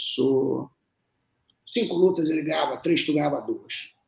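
A man speaks with long, frequent pauses. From Minas Gerais (Lavras), raised in Brasília from age 2, Rio from age 10. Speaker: jiu-jitsu coach and former champion. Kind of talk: casual interview storytelling.

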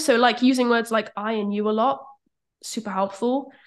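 A woman with a British accent is speaking. Her pitch is fairly high and her pace is moderate. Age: 20s. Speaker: copywriter. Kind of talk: casual interview chat.

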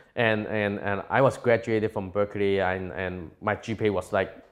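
Man's fairly low voice with a Cantonese accent and fairly even intonation, in a very clean recording with a silent background. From Hong Kong. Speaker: tech entrepreneur. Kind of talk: interview. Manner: halting.

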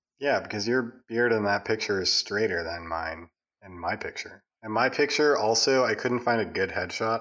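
A man with a plain, everyday voice, fairly low in pitch, at a moderate pace with ordinary pitch variation over a quiet background. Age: 20s. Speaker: podcast co-host. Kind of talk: casual chat.

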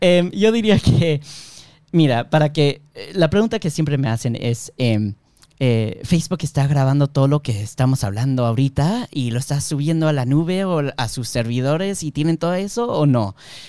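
In a very clean recording with a silent background, a man speaks at a moderate pace. His dark, mellow tone carries lively intonation. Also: fairly high pitch for a man. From Miami, US, Peruvian-Bolivian family. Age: 20s. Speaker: software engineer and product manager. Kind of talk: casual interview.

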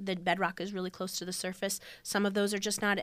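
With an Upper Midwest accent, a woman speaks in a bright, sharp tone at a medium pitch, her intonation monotone and flat, on a very clean recording with a silent background. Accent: Upper Midwest American. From US Midwest (northeast Iowa). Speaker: soil and crop management educator. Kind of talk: radio interview.

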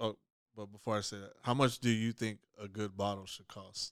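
Over a silent background in a very clean recording, a man talks at a moderate pace. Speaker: podcast co-host. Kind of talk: casual chat. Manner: sounds blunt, mean-toned.

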